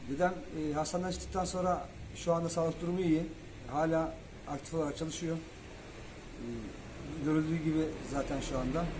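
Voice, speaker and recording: A man with a fairly high voice speaks in a monotone, flat way. He leaves long, frequent pauses over noticeable background noise. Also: moderate pace. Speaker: barrel maker's grandson. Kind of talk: interview answer. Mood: relieved, smiling. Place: workshop. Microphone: handheld.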